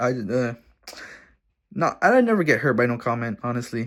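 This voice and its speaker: A man's pitch swings very widely. The recording is very clean, with a silent background. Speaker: vlogger. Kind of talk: casual vlog talk to camera. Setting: at his dad's house.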